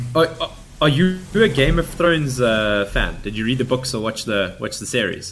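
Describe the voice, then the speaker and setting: Noticeable background noise behind a man's moderately paced, medium-pitched speech with lively intonation. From South Africa, grew up in Afrikaans area. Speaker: podcast host. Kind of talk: casual interview chat.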